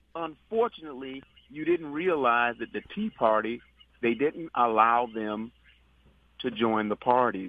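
With very wide pitch swings, a man delivers his words at a fairly slow pace. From New York. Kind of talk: phone-in commentary.

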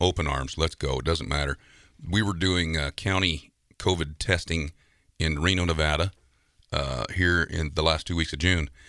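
On a very clean recording with a silent background, a man with a very deep, low pitch and vocal fry talks at a moderate pace in a bright, sharp tone with fairly even intonation. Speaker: rodeo announcer. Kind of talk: casual interview conversation. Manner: warm, folksy.

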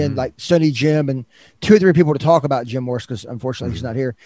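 In a Southern US accent, a man speaks with a dark, mellow tone and ordinary pitch variation, heard dry and close with no echo over a quiet background. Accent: Southern American. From US South, Northwest Arkansas. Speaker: podcast host. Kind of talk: interview. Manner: halting.

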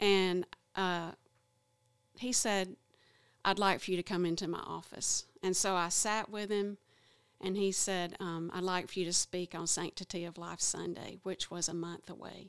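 In an Alabama accent, a woman speaks at medium pitch and a moderate pace with monotone, flat intonation, on a very clean recording with a silent background. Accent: Alabama Southern. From Alabama, small town. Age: 50s. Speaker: abortion recovery class facilitator. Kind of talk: testimony.

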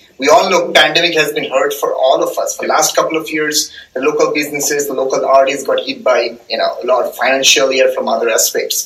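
A man speaks with a Bengali accent, hardly pausing at all. Noticeable background noise runs underneath. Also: fairly quick pace. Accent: Indian English (Bengali). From eastern India (Bengal). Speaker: data scientist. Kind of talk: casual chat.

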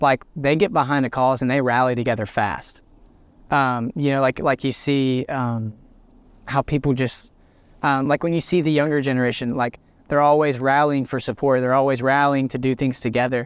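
In a very clean recording with a silent background, a man with an Alabama accent speaks at a medium pitch and a moderate pace, his intonation fairly even. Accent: Southern US (Alabama). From US South, Alabama (Birmingham area). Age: 20s. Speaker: student pastor and worship leader. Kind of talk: casual chat. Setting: outdoors, park.

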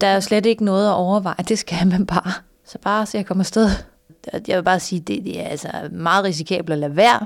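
Pitched in a medium range, a woman's voice proceeds at a moderate pace. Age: 50s. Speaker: lawyer with vision loss, course participant. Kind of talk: interview testimony. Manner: halting, many fillers.

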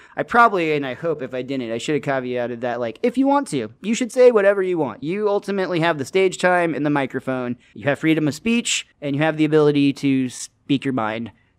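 A man with an American accent talks at a very fast pace with hardly any pauses. His voice sits fairly high and swings very widely in pitch. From California. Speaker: comedian. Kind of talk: casual chat. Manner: relaxed, calm.

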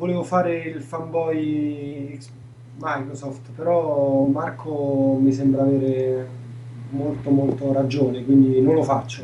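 Through audible room echo and noticeable background noise, a man speaks at a very slow pace. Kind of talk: casual chat. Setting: video call. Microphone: audio glitches on call.

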